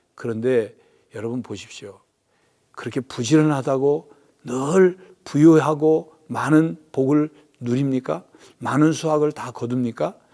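A man's dark, mellow voice at medium pitch, at a very slow pace with long, frequent pauses, big swings in loudness and ordinary pitch variation. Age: 60s. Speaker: pastor. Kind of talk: sermon.

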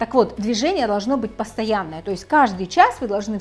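The speaker is a woman with lively intonation. She talks at a fairly quick pace. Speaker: health blogger. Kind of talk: casual explanatory vlog talk. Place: home room. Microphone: lapel.

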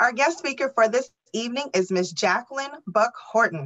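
A woman speaks at a moderate pace with lively intonation. The background is quiet. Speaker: webinar moderator. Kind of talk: moderating a webinar. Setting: video call. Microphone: video call.

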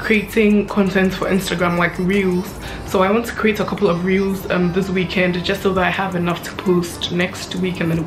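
A woman speaks in a monotone, flat intonation. Faint music plays in the background. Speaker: vlogger. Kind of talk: casual vlog chat. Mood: relaxed and friendly. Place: home room.

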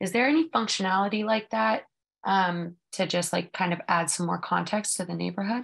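Lively intonation from a woman at a moderate pace, quiet background. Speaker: real estate agent, webinar attendee. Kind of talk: audience question. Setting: video call. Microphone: video call.

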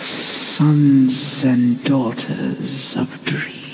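This is a put-on character voice at a low-to-middle pitch. Background noise is clearly heard. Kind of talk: ASMR audio roleplay. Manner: gentle, slow, soft-spoken.

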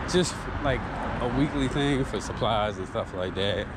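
Loud background noise sits behind a man speaking at a moderate pace. The sound is dry with no echo. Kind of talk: casual vlog chat. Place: street. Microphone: phone near.

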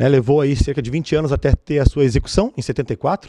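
A man's fairly high voice has a dark, mellow tone, captured as a dry sound with no echo. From Rio Grande do Sul, Brazil. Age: 30s. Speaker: mayoral candidate; candidate. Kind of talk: televised political debate. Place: studio. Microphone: podium.

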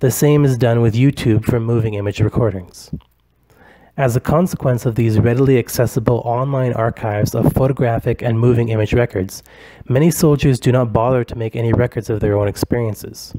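At a fairly quick pace, a man talks in a normal speaking voice of medium pitch with fairly even intonation. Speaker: academic researcher. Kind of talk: conference presentation. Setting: recorded virtual conference. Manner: formal.

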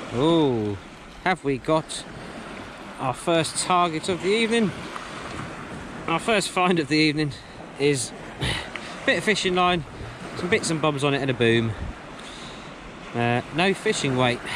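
Delivered at a fairly slow pace with long, frequent pauses, the speech has a dry sound with no echo and noticeable background noise. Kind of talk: casual vlog chat. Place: beach. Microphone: phone near.

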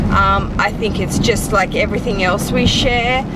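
Loud background noise fills the clip. A woman speaks over it at a moderate pace. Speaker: fashion vlogger. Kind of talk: casual vlog chat. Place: car. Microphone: phone near.

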